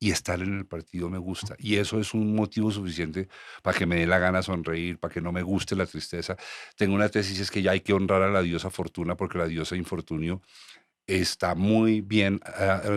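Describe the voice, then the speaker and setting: In a very clean recording with a silent background and a dry, close sound free of echo, a man speaks fairly quickly in a very deep, low, monotone voice with flat intonation. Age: 60s. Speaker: podcast host. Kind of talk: casual chat.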